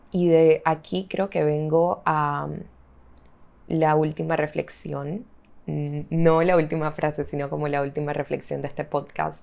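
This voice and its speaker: Very clean and set against a silent background, the recording features a woman with a very deep, low pitch and a dark, mellow tone. Her intonation is fairly even and her pace fairly slow. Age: 20s. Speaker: podcast host. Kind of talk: solo reflective monologue. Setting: home bedroom.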